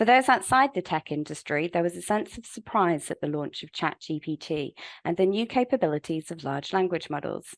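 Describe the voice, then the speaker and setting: A woman with a British accent speaks with lively intonation and hardly any pauses, her pitch fairly low. The sound is dry and close with no echo, against a quiet background. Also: fairly quick pace. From UK. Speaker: webinar host, legal publishing manager. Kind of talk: webinar presentation. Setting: online webinar. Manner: formal.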